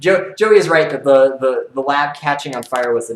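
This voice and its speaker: At a fairly quick pace, a man with a medium pitch and an American accent speaks with ordinary pitch variation. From US Midwest, Kansas. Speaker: YouTuber and rocket engineer. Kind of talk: live stream Q&A. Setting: home live stream. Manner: fast; animated.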